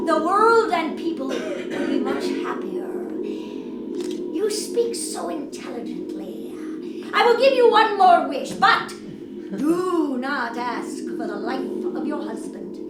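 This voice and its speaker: A woman's put-on character voice at a fairly slow pace, with slight echo and loud background noise. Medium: stage play. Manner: gentle, patient, amused.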